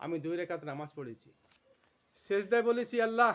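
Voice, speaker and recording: A man speaks at a high pitch in a very clean recording with a silent background. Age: 70s. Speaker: Islamic motivational speaker. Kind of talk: religious motivational talk.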